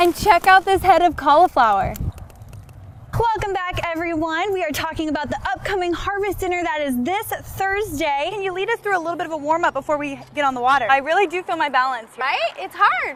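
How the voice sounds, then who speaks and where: An upbeat tone at a fairly quick pace over noticeable background noise. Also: woman, extremely high pitch for a woman. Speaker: TV news reporter. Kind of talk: upbeat feature segment.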